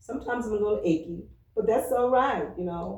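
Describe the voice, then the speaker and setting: A woman with lively intonation, a dark, mellow tone and a somewhat breathy quality, with audible room echo. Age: 60s. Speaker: church member, retired social worker. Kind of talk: oral history interview.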